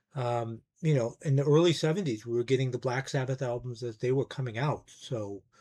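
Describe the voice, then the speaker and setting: This man's dark, mellow, somewhat breathy voice sits at a medium pitch, moving with ordinary pitch variation at a moderate pace. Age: 60s. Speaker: music YouTuber, record collector. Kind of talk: casual monologue review.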